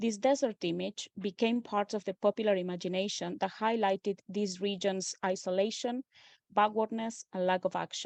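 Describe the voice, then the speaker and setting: A woman with an Argentine accent speaks at a moderate pace in a medium pitch, her intonation fairly even, against a quiet background with a dry, close sound and no echo. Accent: Argentinian accent in English. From Argentina. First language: Spanish. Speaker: postdoctoral researcher. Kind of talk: academic lecture. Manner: formal, with frequent filler hesitations.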